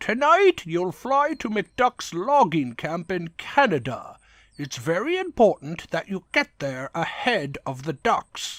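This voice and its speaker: A man uses a put-on character voice pitched high. He speaks at a fairly slow pace on a very clean recording with a silent background. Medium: dub.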